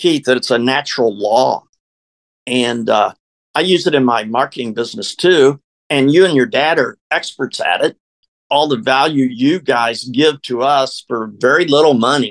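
In an unremarkable speaking voice, a man of medium pitch talks at a moderate pace with ordinary pitch variation in a dry, close sound with no echo. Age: 60s. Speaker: network marketer. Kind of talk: interview.

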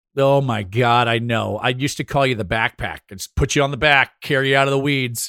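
A man with a medium pitch talks at a fairly quick pace with hardly any pauses, his animated, bright, sharp tone caught in a dry, close sound with no echo. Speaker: podcast host and former TV show host. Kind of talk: casual chat.

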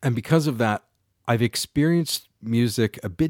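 A man with a Canadian accent and a normal speaking voice talks at a moderate pace and medium pitch with lively intonation. The recording is very clean, with a silent background and a dry, close sound with no echo. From Canada, London, Ontario. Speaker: podcast host. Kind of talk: solo podcast narration.

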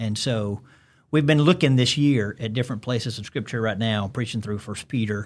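With a Southern US accent, a man speaks at a moderate pace in a very clean recording with a silent background. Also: medium pitch for a man, ordinary pitch variation. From Alabama. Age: 50s. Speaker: pastor. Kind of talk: casual interview chat. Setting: studio.

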